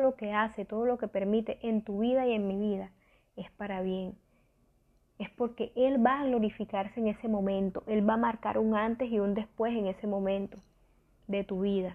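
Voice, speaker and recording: The voice moves at a moderate pace with flat, monotone intonation. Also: woman. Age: 20s. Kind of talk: devotional talk.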